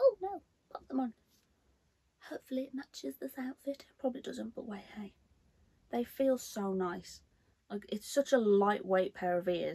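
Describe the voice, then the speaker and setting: A woman speaks at a moderate pace in a somewhat breathy, dark, mellow tone, with lively intonation and big swings in loudness. She leaves long, frequent pauses over a quiet background. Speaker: collector vlogger. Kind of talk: casual unboxing vlog chat. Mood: delighted, gushing. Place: home room.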